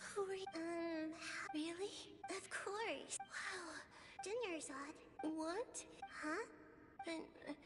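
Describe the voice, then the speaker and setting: A cartoonish character voice at an extremely high pitch, very slow with long, frequent pauses, over clear background noise. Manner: excitable.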